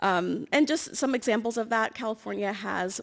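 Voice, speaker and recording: A woman speaks at a fairly quick pace. Her voice has vocal fry. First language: Amharic or Tigrinya (English is second language). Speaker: government energy official, award recipient. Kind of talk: award acceptance speech. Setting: stage with audience. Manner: formal.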